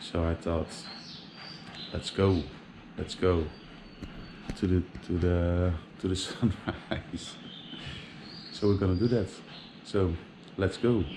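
Fairly even in intonation, a man with a very deep, low pitch talks at a very slow pace with long, frequent pauses over noticeable background noise. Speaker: travel vlogger. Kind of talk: casual vlog chat. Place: street. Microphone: phone near.

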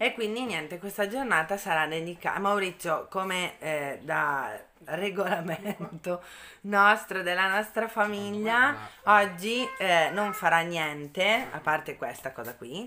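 Faint music plays in the background while the speaker goes at a fairly slow pace. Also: woman. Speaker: family vlogger. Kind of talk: casual vlog chat. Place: home room. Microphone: phone near.

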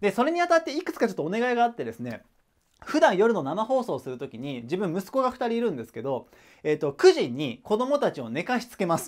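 Against a quiet background, a man speaks very fast in a high voice, with very wide pitch swings and big swings in loudness. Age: 30s. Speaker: online tutor / education YouTuber; online study tutor. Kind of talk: casual announcement to viewers. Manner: hesitant, many fillers.

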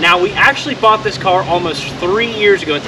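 Behind the speech lies noticeable background noise. The voice belongs to a man. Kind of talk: casual vlog chat. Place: street. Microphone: camera far.

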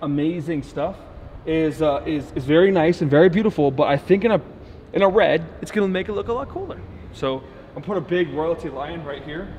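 A man talks fairly quickly, his pitch moving in an ordinary way against light background noise. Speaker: car rental business owner vlogger. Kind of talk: casual vlog chat. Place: garage. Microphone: camera far.

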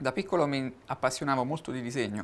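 The pace of this man's speech is fairly quick. His pitch rises and falls in an ordinary way. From Italy. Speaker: guitarist and artist; interviewee. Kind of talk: TV interview. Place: studio.

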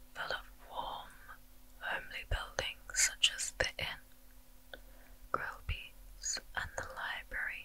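Whispering, a woman speaks at a very slow pace. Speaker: ASMR creator. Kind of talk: ASMR storytelling. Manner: whispered. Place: home room. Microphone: studio mic.

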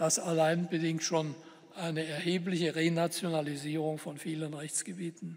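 A man talks in a high pitch at a moderate pace. The background is quiet. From Germany. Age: 70s. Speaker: politician and professor giving a talk; politician, professor giving a talk. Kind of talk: lecture. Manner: formal. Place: hall.

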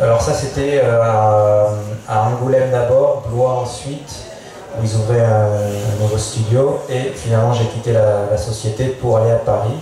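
A medium-pitched man speaks fairly slowly in a monotone, flat intonation. Strong room echo and light background noise surround him. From Auvergne, France. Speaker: painter and animation artist. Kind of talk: panel discussion. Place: tent. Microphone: pa.

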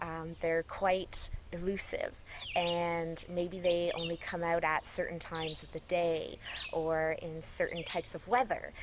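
A woman talks very slowly while noticeable background noise runs underneath. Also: dry sound with no echo. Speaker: environmental educator. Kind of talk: tutorial. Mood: friendly, smiling. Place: forest.

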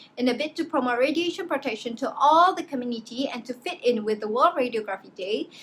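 A woman's high-pitched voice with lively intonation at a fairly quick pace over light background noise. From Malaysia. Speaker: student; presenter. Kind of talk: class presentation. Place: home room. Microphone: webcam.

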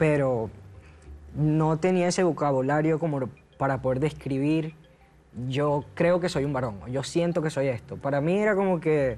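Speaking at a fairly slow pace, a man keeps his loudness very even and his pitch variation ordinary. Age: 20s. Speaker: transgender man sharing his story; talk show guest. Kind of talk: TV talk show interview. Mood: reflective, personal. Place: studio. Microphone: lapel.

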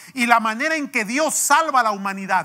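In a raised, projected voice, a man speaks with a bright, sharp tone and an extremely high pitch against a quiet background. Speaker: pastor. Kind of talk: sermon. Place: church.

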